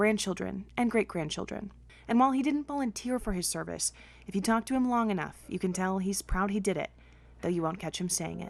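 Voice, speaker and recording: A woman speaks in a plain, everyday voice at medium pitch and a fairly quick pace, with ordinary pitch variation. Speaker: TV news reporter. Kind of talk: TV news report.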